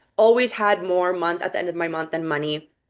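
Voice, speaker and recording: A woman's ordinary speaking voice at medium pitch, with fairly even intonation. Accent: Canadian. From Vancouver, Canada. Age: 20s. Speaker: network marketing business owner. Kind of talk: sales pitch with personal testimony.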